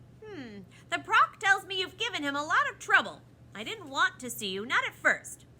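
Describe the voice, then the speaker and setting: A put-on character voice, extremely high and raised to project, at a moderate pace. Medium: read story. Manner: cheerful, regal.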